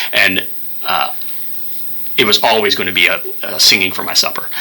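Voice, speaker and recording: There is noticeable background noise. The man in the clip talks very fast. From Kentucky (Louisville). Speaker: nonprofit CEO, retired firefighter. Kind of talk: radio interview.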